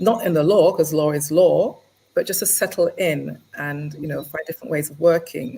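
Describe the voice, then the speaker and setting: A woman with an English accent speaks with big swings in loudness. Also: moderate pace. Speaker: lawyer. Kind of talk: interview. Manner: halting.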